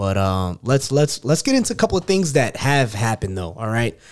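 The speaker is a man with a New York accent. The recording is very clean, with a silent background. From Queens, New York. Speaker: podcast host. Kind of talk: casual chat.

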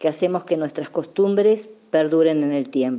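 Her tone is dark and mellow, with ordinary pitch variation. This woman's voice is pitched fairly low. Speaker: president of a Basque community centre. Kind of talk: personal testimony.

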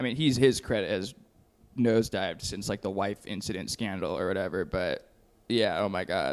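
Speaking with an American accent, a man uses a fairly low pitch, ordinary pitch variation and a moderate pace. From Texas. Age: 20s. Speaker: film student. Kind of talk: casual chat. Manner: animated.

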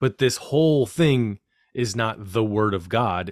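A man talks in an ordinary speaking voice, medium in pitch, with lively intonation. The recording is very clean, with a silent background and a dry, close sound with no echo. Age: 40s. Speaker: podcast host, former pastor. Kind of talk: casual interview conversation.

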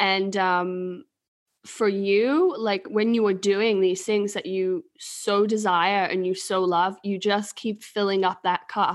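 A woman at a medium pitch with an English accent, speaking very slowly with fairly even intonation against a quiet background. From England. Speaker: human design reader and podcast co-host. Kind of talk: casual chat.

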